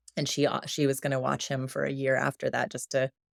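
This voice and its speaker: A woman with a West Coast accent, very deep and low-pitched, speaking at a fairly quick pace in a very clean recording with a silent background and a dry, close sound without echo. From US Pacific Northwest, Oregon. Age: 40s. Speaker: bereaved sibling sharing her story. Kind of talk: interview, personal testimony. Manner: halting, many repetitions and fillers.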